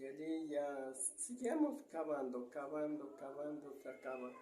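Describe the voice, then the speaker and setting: A very slow, fairly high-pitched man's voice with audible room echo. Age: 70s. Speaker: retired treasure digger. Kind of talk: interview storytelling.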